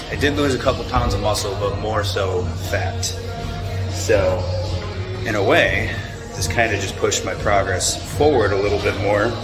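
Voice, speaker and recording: Over clear music in the background, a man speaks at a moderate pace with long, frequent pauses. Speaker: fitness vlogger. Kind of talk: casual vlog chat. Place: gym. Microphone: phone near.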